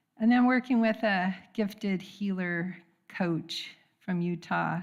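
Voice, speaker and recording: A woman speaks with a somewhat breathy voice and ordinary pitch variation. The recording is very clean, with a silent background. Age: 70s. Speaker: congregant sharing at a church service. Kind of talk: testimony.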